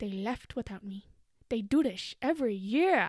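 On a very clean recording with a silent background, a woman does a put-on character voice at a fairly high pitch and a moderate pace. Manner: attractive, seductive.

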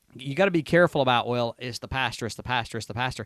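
A man speaks with lively intonation in a South Carolina accent. The sound is dry and close with no echo, over a quiet background. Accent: Southern US (South Carolina). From Upstate South Carolina (Union). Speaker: assistant pastor. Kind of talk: testimony; casual interview.

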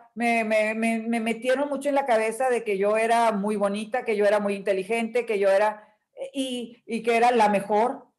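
A woman talks at a fairly slow pace with a northern Mexican accent. Her pitch is fairly high and her intonation fairly even. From northern Mexico, Nuevo León. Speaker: image consultant and coach. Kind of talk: interview. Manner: firm, direct.

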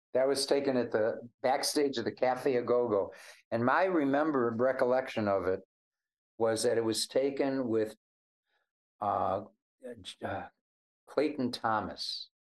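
Fairly slow and broken by long, frequent pauses, a man's medium-pitched voice carries an American accent and ordinary pitch variation. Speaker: blues harmonica player. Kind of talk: casual chat. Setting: video call.

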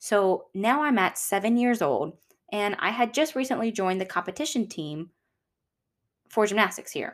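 Speaking at a moderate pace in a Southern US accent, a woman sounds animated, with lively intonation and a fairly high pitch. She leaves long, frequent pauses. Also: very clean recording, silent background. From Louisiana. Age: 20s. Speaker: podcast host. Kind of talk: personal storytelling monologue. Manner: chatty, animated.

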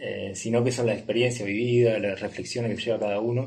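Very fast and somewhat breathy, a man's voice carries audible room echo. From Uruguay. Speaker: travel entrepreneur. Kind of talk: casual interview. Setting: in person, recording in Nepal.

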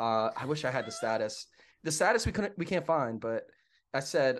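This man has an ordinary speaking voice and an American accent. His pitch is fairly high, and he talks at a fairly quick pace. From Pittsburgh, western Pennsylvania. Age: 30s. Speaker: fire system inspector and esports event worker. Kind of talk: casual chat. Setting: video call from his apartment.

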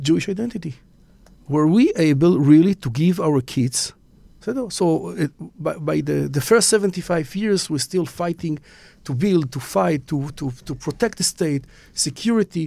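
A man with an Israeli accent speaks at a fairly high pitch in a dark, mellow tone with lively intonation. The recording is very clean, with a silent background. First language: Hebrew. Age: 50s. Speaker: businessman and magazine founder. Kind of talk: interview conversation. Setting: studio. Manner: halting.

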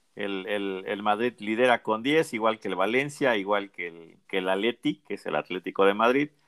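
Speaking at a moderate pace with hardly any pauses, a man uses a fairly low pitch and ordinary pitch variation. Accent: Mexican. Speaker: football podcast host. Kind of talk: casual chat.

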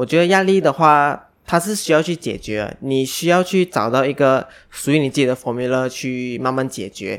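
A plain, everyday voice from a man, fairly high in pitch, at a moderate pace with hardly any pauses and ordinary pitch variation, on a very clean recording with a silent background. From Malaysia. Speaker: podcast co-host. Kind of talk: casual chat.

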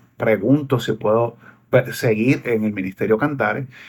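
A man speaks with a Puerto Rican accent and fairly even intonation. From Puerto Rico. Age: 40s. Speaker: singer and preacher. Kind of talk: casual interview. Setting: video call.

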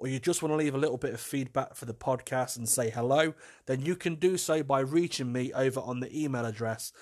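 Pitch varies in an ordinary way throughout an unforced reading voice.

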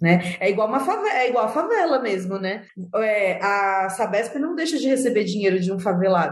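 Her intonation lively, a woman speaks in a fairly high pitch at a moderate pace. There is audible room echo. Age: 30s. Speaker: psychologist and social entrepreneur. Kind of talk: interview conversation.

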